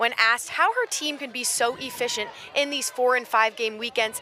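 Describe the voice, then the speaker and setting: A woman's raised, projected voice at a moderate pace, over noticeable background noise. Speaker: sports broadcaster. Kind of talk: sports live shot and anchoring.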